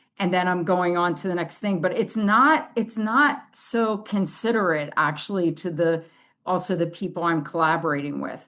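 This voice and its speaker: A woman's fairly low-pitched voice, an ordinary speaking voice, at a moderate pace with ordinary rises and falls in pitch. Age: 60s. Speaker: artist and author. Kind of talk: podcast interview. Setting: video call.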